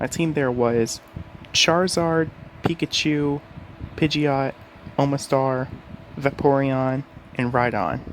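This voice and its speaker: A man speaks quietly at a very slow pace, his pitch fairly high and his intonation fairly even. Long pauses come often. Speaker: gaming YouTuber. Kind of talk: casual gaming talk to camera. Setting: home bedroom. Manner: quiet, keeping voice down.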